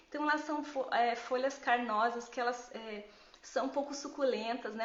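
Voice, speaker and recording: Against noticeable background noise and audible room echo, a high-pitched woman speaks at a fairly slow pace with fairly even intonation. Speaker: gardening educator. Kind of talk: live Q&A tutorial. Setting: Instagram live stream. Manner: casual, conversational with fillers.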